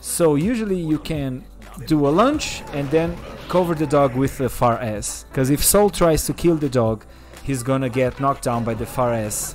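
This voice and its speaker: Music plays in the background as a man with a Portuguese accent speaks at a moderate pace, his pitch fairly high with ordinary variation. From Brazil. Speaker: gaming streamer. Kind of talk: tutorial. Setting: live stream. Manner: casual, with filler words.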